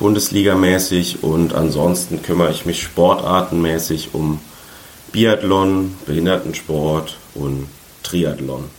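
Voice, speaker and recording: Amid noticeable background noise and audible room echo, a man with a very deep, low pitch speaks at a very slow pace with fairly even intonation. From Saarland, Germany. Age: 20s. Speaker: sports journalist. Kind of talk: interview.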